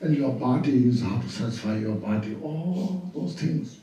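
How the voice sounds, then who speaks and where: Audible room echo and noticeable background noise surround a man speaking at medium pitch. His pitch swings very widely. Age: 80s+. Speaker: Buddhist teacher. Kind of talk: dharma teaching. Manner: halting, repetitive phrasing.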